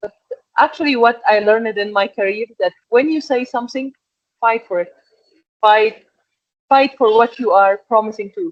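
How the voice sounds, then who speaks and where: A woman with an Egyptian accent speaks at a moderate pace with long, frequent pauses, a fairly high pitch and ordinary pitch variation, in a dry, close sound with no echo. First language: Arabic. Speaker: export and packaging manager. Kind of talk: interview. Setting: podcast.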